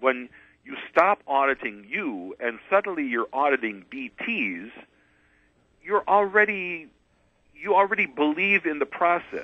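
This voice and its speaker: A man with a high pitch speaks at a fairly slow pace, the sound dry with no echo against a quiet background. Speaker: radio guest. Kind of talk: interview answer.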